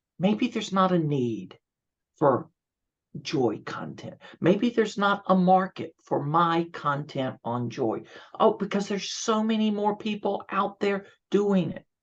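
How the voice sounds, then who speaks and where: A man's high-pitched, animated voice with lively intonation at a fairly slow pace, over a quiet background. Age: 60s. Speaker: gratitude speaker and coach. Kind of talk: interview conversation.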